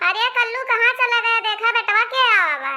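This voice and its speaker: Doing a put-on character voice, a woman speaks at a moderate pace in a squeaky, extremely high pitch with ordinary pitch variation. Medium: cartoon. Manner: chatty, folksy, wheedling.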